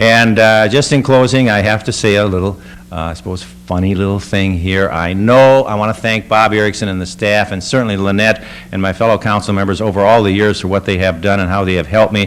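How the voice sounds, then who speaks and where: A man's normal speaking voice at a fairly low pitch, fairly quick in pace, with ordinary pitch variation. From Minnesota, Scott County. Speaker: retiring mayor. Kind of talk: farewell speech.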